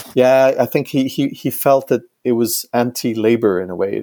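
With a dark, mellow tone and a medium pitch, a man speaks at a moderate pace with fairly even intonation in a dry, close recording with no echo. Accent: German. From Germany. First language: German. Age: 50s. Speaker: economist and professor. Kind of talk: interview conversation. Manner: halting, many repetitions.

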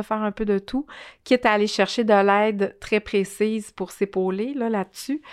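With a plain, everyday voice, a woman speaks at a moderate pace, fairly high in pitch with fairly even intonation, in a dry, close sound with no echo on a very clean recording with a silent background. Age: 40s. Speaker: social entrepreneur. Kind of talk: interview.

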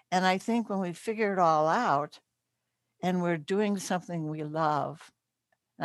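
At a moderate pace, a woman speaks with ordinary pitch variation on a very clean recording with a silent background. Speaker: interfaith leader and podcaster. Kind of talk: interview chat. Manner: halting, hesitant.

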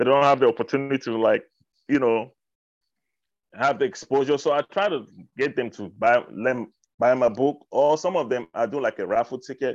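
With an African accent, a man speaks at a moderate pace with ordinary pitch variation and long, frequent pauses, over a quiet background. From Cameroon. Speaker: hip hop artist. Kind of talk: casual interview chat. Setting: radio interview.

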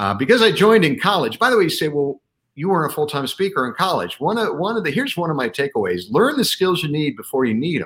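Vocal fry runs through this man's speech. He talks at a very fast pace with very wide pitch swings. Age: 60s. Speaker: leadership speaker and author. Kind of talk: interview.

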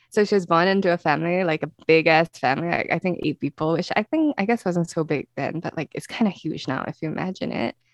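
Speaking at a very fast pace with hardly any pauses, a woman with a Singaporean accent has a fairly low pitch and ordinary pitch variation, in a dry, close sound with no echo. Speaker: true crime podcast host. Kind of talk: casual chat. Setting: remote call. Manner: animated.

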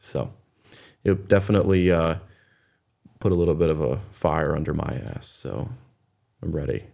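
A man with an American accent speaks at a moderate pace in a very deep, low voice with a dark, mellow tone and vocal fry. His pitch varies in an ordinary way, and he takes long, frequent pauses. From Maine, US. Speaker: artist. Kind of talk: interview. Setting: studio. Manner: halting.

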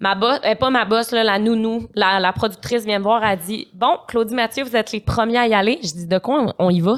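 Fairly quick speech from a woman, fairly high in pitch, with ordinary pitch variation. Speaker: social media influencer. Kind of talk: casual chat. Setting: studio. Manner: animated.

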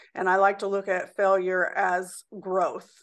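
With a Midwestern US accent, the speaker talks at a fairly slow pace. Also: woman, quiet background. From Indianapolis, Indiana. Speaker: small business owner. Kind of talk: interview.

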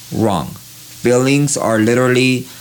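A man with an American accent and ordinary pitch variation, over noticeable background noise. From East Los Angeles. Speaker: tattoo artist. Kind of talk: casual interview. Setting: tattoo studio.

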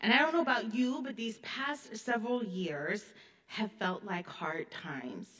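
A woman with an American accent speaks at a fairly high pitch. Her intonation is lively and her pace fairly slow. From US Midwest (Illinois). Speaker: history professor. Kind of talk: keynote lecture. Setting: stage with audience.

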